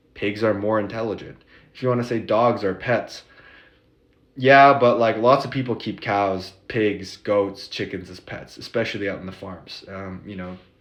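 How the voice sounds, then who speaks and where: A man with an American accent talks at a moderate pace and fairly low pitch. His intonation is fairly even, though his loudness swings widely. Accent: American accent noticed by locals. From United States. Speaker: vlogger. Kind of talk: casual monologue. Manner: casual, many filler words.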